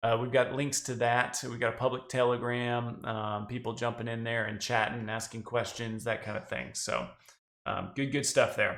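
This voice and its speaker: A man of medium pitch speaks in a monotone, flat intonation with a slight Southern US accent. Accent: slight Southern drawl creeping in. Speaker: crypto podcast co-host. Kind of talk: casual podcast chat.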